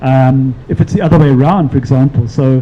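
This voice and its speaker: Using an ordinary speaking voice, a man speaks at a moderate pace in a fairly high pitch. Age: 60s. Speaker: panel speaker. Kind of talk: panel discussion. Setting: live-streamed event.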